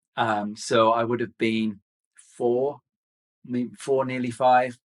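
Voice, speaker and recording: A man with a Birmingham accent speaks at a very slow pace. His medium-pitched voice carries monotone, flat intonation. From Birmingham, England. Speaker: fitness instructor. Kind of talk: casual interview.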